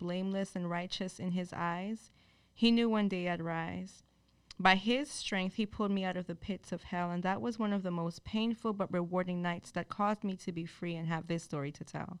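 Keeping a moderate speed and medium pitch, a woman with an ordinary speaking voice talks with fairly even intonation. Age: 20s. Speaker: spoken word poet. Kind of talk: spoken word poem, performed with a preacher's fervor. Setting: stage with audience. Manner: intense, rhythmic, emotionally charged.

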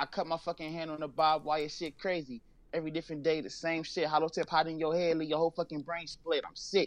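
In an American accent, the speaker talks very fast with monotone, flat intonation, recorded dry and close with no echo over a quiet background. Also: man, fairly high pitch for a man. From Los Angeles. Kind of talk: interview. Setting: phone call.

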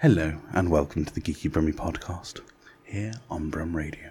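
A man puts on a character voice with a very deep, low pitch. It sounds breathy and moves at a moderate pace. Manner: breathy storyteller.

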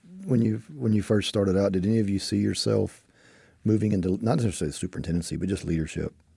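This man's pitch sits fairly low. He speaks very fast. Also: ordinary pitch variation. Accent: Texan. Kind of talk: casual panel interview.

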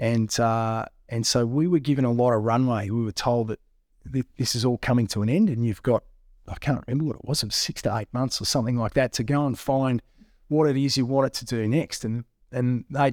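Speaking at a fairly quick pace with fairly even intonation, a man is heard in a very clean recording with a silent background. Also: dry, close sound with no echo. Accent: Australian. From Australia, southwestern Victoria. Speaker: mining company managing director. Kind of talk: casual interview.

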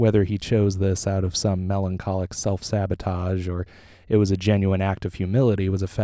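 An unforced reading voice. Nothing else stands out.

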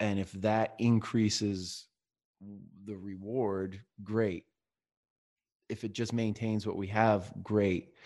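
Against a quiet background, the delivery is monotone, with flat intonation. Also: man. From Maine. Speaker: brewery owner and father. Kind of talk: casual chat.

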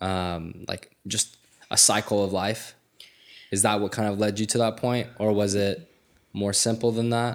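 The speaker uses a normal speaking voice at a fairly slow pace. The intonation stays fairly even. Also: man, fairly low pitch for a man. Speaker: podcast host. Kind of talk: casual interview chat.

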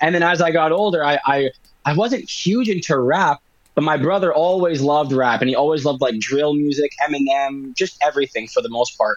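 With a Canadian accent, this man has a plain, everyday voice, fairly high in pitch with ordinary pitch variation, very even loudness and a fairly quick pace. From Winnipeg, Canada. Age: 20s. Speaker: rapper. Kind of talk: interview.

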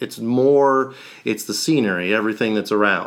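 In a normal speaking voice, the delivery moves at a fairly slow pace with ordinary pitch variation. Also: man, very clean recording, silent background. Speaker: podcast co-host. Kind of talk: casual interview chat.

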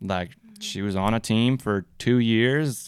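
A man at a fairly low pitch with an American accent, in a very clean recording with a silent background. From Minnesota, US. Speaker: campus sports ministry worker, former soccer coach. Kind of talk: casual interview.

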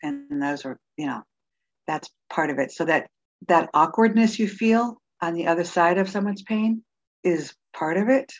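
A normal speaking voice with lively intonation moves at a moderate pace. The sound is dry and close with no echo, over a quiet background. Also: woman. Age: 50s. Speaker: author and pastor. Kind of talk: interview testimony.

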